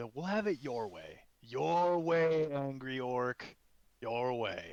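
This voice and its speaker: A man puts on a character voice, pitched medium and delivered at a very slow pace. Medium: actual play. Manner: mocking, taunting.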